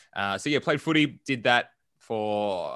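A man talks with an Australian accent. His voice is fairly low. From Melbourne, Australia. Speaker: entrepreneur and business coach. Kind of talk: casual interview.

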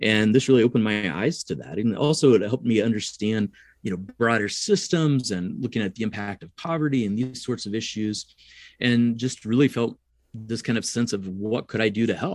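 Against a quiet background, a man with an American accent talks fairly quickly in an ordinary speaking voice, at medium pitch with ordinary pitch variation. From US Midwest, rural southern Illinois. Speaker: psychology professor and researcher. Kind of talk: interview.

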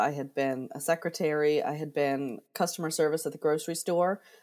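On a very clean recording with a silent background, a woman talks with an American accent. Her pitch is very deep and low. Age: 40s. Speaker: digital marketer. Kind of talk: interview storytelling.

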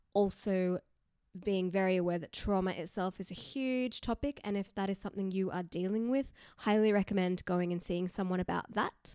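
A woman's medium-pitched, dark and mellow voice at a moderate pace with fairly even intonation, in a very clean recording with a silent background and a dry, close sound with no echo. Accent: Australian. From Newcastle, Australia. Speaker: yoga teacher and podcaster. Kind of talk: casual solo podcast monologue. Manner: conversational, informal.

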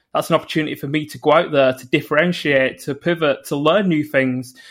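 Talking very fast, a man with a northern English accent has a fairly high voice. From northern England. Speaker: environmental psychologist. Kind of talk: interview.

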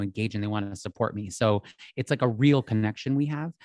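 A man with a normal speaking voice talks at a fairly quick pace and medium pitch, with ordinary pitch variation. The sound is dry and close with no echo, over a quiet background. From US Northeast, outside Philadelphia. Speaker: fashion and lifestyle influencer. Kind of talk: casual interview chat.

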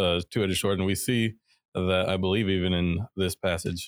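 This man has a very deep, low pitch. His intonation is fairly even. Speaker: co-host Bible teacher. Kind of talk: live Bible study discussion. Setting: live stream.

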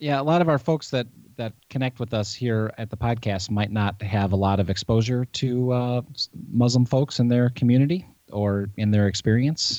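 A man speaks at medium pitch with ordinary pitch variation. He has an unremarkable speaking voice. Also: moderate pace. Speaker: podcast co-host and pastor.

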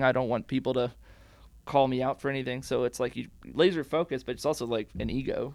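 Using a fairly quick pace, a man with a medium pitch talks in fairly even intonation marked by vocal fry. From Washington State, moved around US. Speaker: graphic designer. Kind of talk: casual interview chat. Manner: fast talker, amped.

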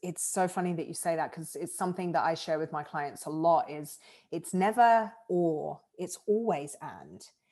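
Speaking at a fairly slow pace over a quiet background, a woman with a southern English accent uses a fairly low pitch. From southern England. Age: 30s. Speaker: life coach. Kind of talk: casual interview. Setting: video call.

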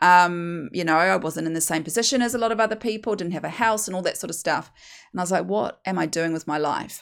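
In a very clean recording with a silent background, a woman speaks with a New Zealand accent at a fairly low pitch. Her pace is very fast, her intonation lively. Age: 40s. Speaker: hypnosis weight coach and podcast host. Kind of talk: solo monologue sharing personal story.

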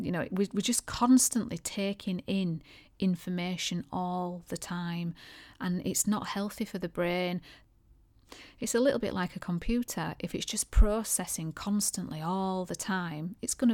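In a very clean recording with a silent background, a woman with an ordinary speaking voice talks at a moderate pace, with a medium pitch and ordinary pitch variation. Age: 40s. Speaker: podcast host and aesthetics clinic owner. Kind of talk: solo podcast monologue.

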